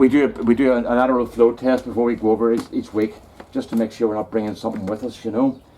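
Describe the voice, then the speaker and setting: At a very fast pace, a man with a Northern Irish accent speaks at medium pitch in a monotone, flat intonation. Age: 60s. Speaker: hobby gardener and woodturner vlogger. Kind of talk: casual vlog chat. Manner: halting.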